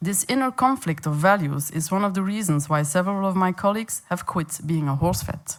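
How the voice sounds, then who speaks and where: Speaking with a Flemish accent, a woman moves at a fairly quick pace with hardly any pauses. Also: medium pitch for a woman, lively intonation. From Flanders, Belgium. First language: Dutch (Flemish). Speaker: veterinarian and animal welfare campaigner. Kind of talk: conference presentation. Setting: conference meeting in Paris.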